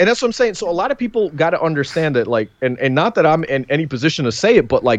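Very wide pitch swings run through this voice in a New York accent. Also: man. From New York, Queens. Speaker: wrestling podcaster. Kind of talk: casual chat.

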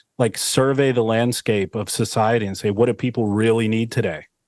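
A man speaks in an ordinary speaking voice at medium pitch with fairly even intonation. The sound is dry and close with no echo, and the background is quiet. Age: 30s. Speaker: entrepreneur. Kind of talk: casual interview chat.

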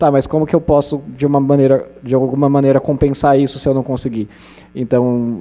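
A man's fairly high voice, dark and mellow in tone, moves at a moderate pace. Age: 20s. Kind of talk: panel talk at public event.

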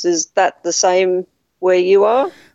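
With an Australian accent, a woman speaks at a fairly slow pace and medium pitch using lively intonation. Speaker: podcast listener interviewing the host. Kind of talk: casual interview chat. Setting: video call across countries.

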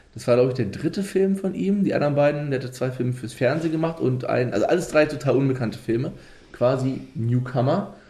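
Very fast, lively intonation in a dark, mellow, somewhat breathy tone, with audible room echo. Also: man, medium pitch for a man. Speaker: podcast host. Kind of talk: casual chat.

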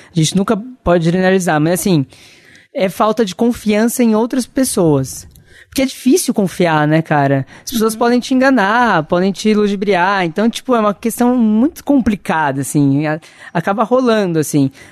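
A man with a high pitch speaks at a moderate pace with lively intonation and very even loudness. The background is quiet. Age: 20s. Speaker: journalist. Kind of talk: casual chat. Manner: soft-spoken.

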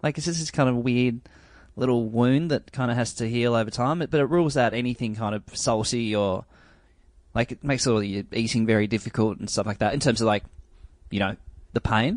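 A man with an Australian accent talks at a fairly quick pace, medium in pitch with ordinary pitch variation. The background is quiet. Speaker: podcast guest. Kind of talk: casual chat. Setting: video call.

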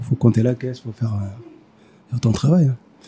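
With fairly even intonation, a man talks at a very fast pace in a somewhat breathy, dark and mellow voice of medium pitch. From Mali. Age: 30s. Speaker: pastry chef. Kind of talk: interview. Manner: halting.

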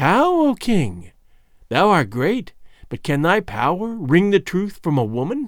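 A man puts on a shrill character voice, high in pitch with very wide pitch swings, at a fairly slow pace.

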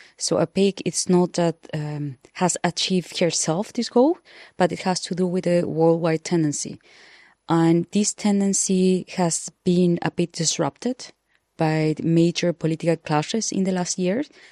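Speaking slowly with fairly even intonation, a woman has a Spanish accent and a fairly low, dark, mellow tone. The sound is dry and close with no echo, over a quiet background. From Chile. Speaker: journalist and commentator. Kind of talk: panel discussion.

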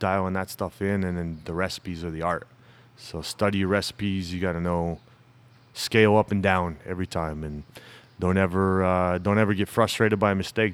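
A man with a Southwestern US accent speaks in a very deep, low voice and a flat monotone. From US Southwest, Tucson Arizona. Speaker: brewery owner. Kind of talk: casual interview chat.

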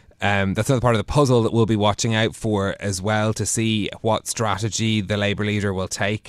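At a fairly quick pace, a man talks in a monotone with flat intonation. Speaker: radio host. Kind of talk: news discussion. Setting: studio.

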